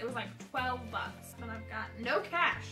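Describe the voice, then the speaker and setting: Clear music plays behind a woman as she talks. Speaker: vlogger. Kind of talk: casual vlog chat. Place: home room. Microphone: camera far.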